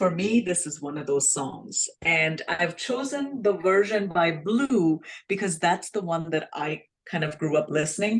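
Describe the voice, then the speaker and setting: Speaking with an Indian accent, a woman uses a fairly low pitch. Her intonation is lively and her pace fairly slow. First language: Hindi. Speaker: self-love coach, podcast co-host. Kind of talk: casual podcast discussion.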